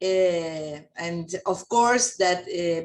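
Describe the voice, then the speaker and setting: A woman with a Spanish accent speaks at a very slow pace in a medium pitch. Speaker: chemist. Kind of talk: Q&A discussion. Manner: halting.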